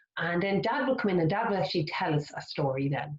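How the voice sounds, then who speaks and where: In a Kildare Irish accent, a woman talks at a fairly quick pace in an animated tone. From Ireland, County Kildare. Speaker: children's author. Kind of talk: storytime workshop for young children. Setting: online video workshop.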